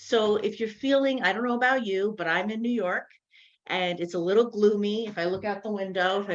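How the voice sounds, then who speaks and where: A woman's medium-pitched voice, a plain, everyday voice, with fairly even intonation and a fairly quick pace. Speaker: mental health and wellness advisor. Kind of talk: online seminar presentation.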